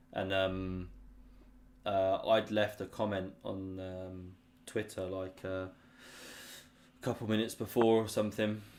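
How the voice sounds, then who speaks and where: Very slowly and in a monotone, flat delivery, a man with a British accent speaks at a very deep, low pitch, his loudness swinging widely. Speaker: chess streamer. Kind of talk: live-stream chess commentary, casual. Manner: low-key, not hype; sleepy, boring-sounding.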